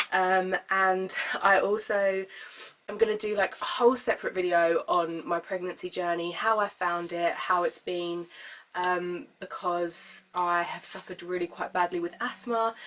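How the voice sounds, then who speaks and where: A woman with a British accent speaks with fairly even intonation. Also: medium pitch for a woman, fairly slow pace. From UK. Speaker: vlogger. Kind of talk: casual vlog talk.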